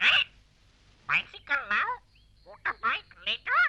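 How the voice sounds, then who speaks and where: An extremely high-pitched, cartoonish character voice. It moves at a fairly slow pace. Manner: repetitive, squawky.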